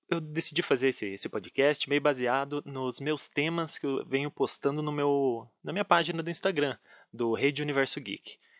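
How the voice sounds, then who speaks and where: In a very clean recording with a silent background, a man speaks at a moderate pace. He has an unremarkable speaking voice with a fairly high pitch. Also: dry, close sound with no echo. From Brazil, Curitiba. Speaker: podcast host. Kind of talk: casual chat.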